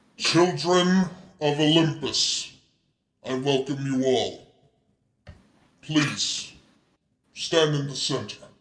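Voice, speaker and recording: A man uses a booming, put-on character voice and speaks at a very slow pace. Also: fairly high pitch for a man. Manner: commanding, welcoming.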